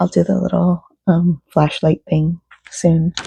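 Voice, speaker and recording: Whispering at a fairly slow pace, a woman sounds somewhat breathy, and the sound is dry and close with no echo. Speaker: crochet pattern designer vlogger. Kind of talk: casual vlog.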